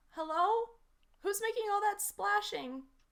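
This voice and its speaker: Moderate-paced speech from a woman in a put-on character voice, pitched extremely high. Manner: questioning, calling out.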